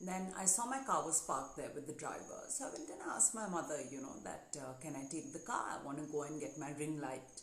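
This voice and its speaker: Over noticeable background noise, the speaker talks at a fairly quick pace with lively intonation and a relaxed tone. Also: woman. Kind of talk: casual live stream talk to camera. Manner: relaxed, chatty.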